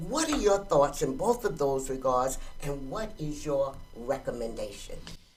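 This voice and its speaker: A fairly slow pace in an American accent, over noticeable background noise. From Georgia, US South. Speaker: interviewer, life coach. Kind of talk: interview.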